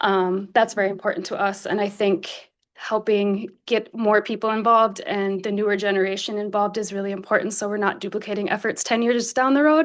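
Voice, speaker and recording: A woman with an ordinary speaking voice and an American accent, medium in pitch, at a fairly quick pace with hardly any pauses and fairly even intonation, against a quiet background. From Wisconsin. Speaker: board applicant. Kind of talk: public meeting statement. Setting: government meeting room.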